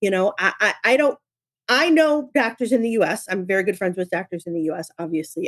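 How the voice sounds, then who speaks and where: With an American accent and a plain, everyday voice, a woman talks at a fairly quick pace, her medium pitch carrying lively intonation. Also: dry, close sound with no echo. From upstate New York. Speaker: company co-founder. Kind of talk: podcast interview.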